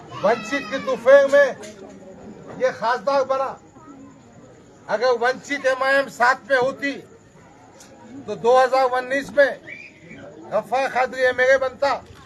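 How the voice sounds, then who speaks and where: A man with an extremely high voice speaks in a monotone, flat way, leaving long, frequent pauses amid noticeable background noise. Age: 60s. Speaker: politician. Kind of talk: political speech.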